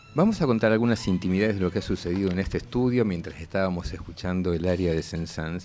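Speaking at a very fast pace, a man uses a very deep, low pitch with ordinary variation and a dark, mellow tone. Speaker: radio host. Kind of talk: radio interview. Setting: radio studio.

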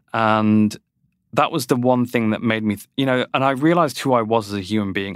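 On a very clean recording with a silent background, a man in a British accent speaks at a medium pitch and a fairly quick pace with ordinary pitch variation. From UK. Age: 40s. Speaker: nonprofit CEO. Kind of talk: interview.

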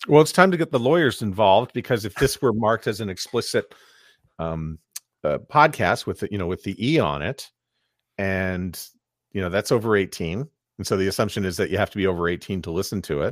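In a dry, close, echo-free recording with a silent background, a man with an unremarkable speaking voice talks at a fairly quick pace, his fairly low pitch carrying lively intonation. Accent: Canadian. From Montreal, Canada. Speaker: podcast producer and voiceover coach. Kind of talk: casual interview.

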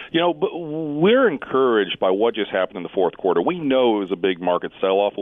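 Lively male intonation against noticeable noise in the background. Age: 40s. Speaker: market strategist. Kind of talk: interview conversation.

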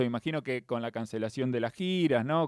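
A man talks at a medium pitch. His pitch rises and falls in an ordinary way. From Argentina. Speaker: radio host. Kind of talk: radio interview.

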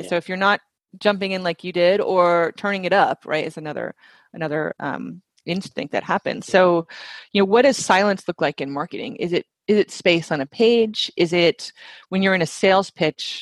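A woman in a normal speaking voice at medium pitch, with ordinary pitch variation, moderate pace, dry, close sound without echo, and a quiet background. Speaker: marketing CEO and former radio DJ. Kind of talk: casual interview chat.

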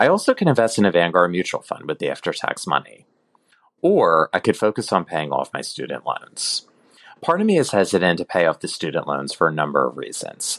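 Close and dry with no echo, the man's speech moves along fairly quickly. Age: 30s. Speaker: listener asking a question. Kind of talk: recorded voicemail question.

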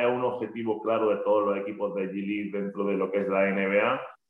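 A man with an Andalusian accent at a fairly quick pace. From Andalusia, Spain. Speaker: basketball coach. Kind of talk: podcast interview.

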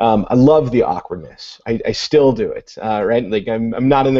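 A man speaks in a normal speaking voice with an American accent. His pace is moderate, with ordinary pitch variation. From US Midwest, Illinois. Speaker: education technology coordinator and author. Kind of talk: video call panel discussion. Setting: video call.

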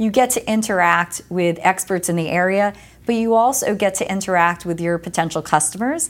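A woman with an American accent speaks in a normal speaking voice at a fairly quick pace, on a very clean recording with a silent background. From US Northeast (New Jersey). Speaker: tech company executive. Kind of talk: interview.

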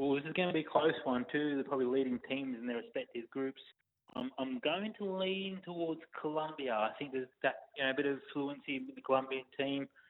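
A man's normal speaking voice, at a fairly quick pace with ordinary pitch variation. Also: fairly high pitch for a man. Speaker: football analyst. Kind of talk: casual radio chat. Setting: phone call from a car.

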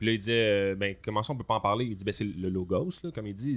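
A man's fairly low voice with ordinary pitch variation, in a very clean recording over a silent background. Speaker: musician and teacher. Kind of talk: casual chat.

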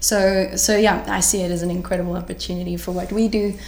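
A woman talks at a fairly quick pace, with noticeable background noise and audible room echo. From South Africa. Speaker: health tech startup founder. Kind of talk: interview. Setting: live event. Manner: animated.

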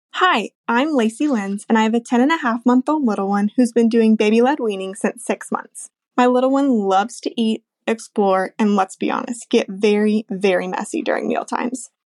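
A woman's ordinary speaking voice, fairly high in pitch with ordinary pitch variation, at a moderate pace, in a dry, close sound with no echo. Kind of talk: voice message.

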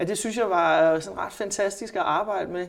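At a moderate pace, a woman of medium pitch speaks with fairly even intonation in an ordinary speaking voice. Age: 40s. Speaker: journalist and psychotherapist. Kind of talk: interview. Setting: office.

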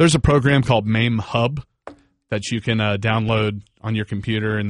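Over a quiet background, a man with an American accent speaks at a moderate pace in an unremarkable speaking voice, his pitch fairly low. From Northern Virginia. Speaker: rock band member. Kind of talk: casual chat. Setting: studio.

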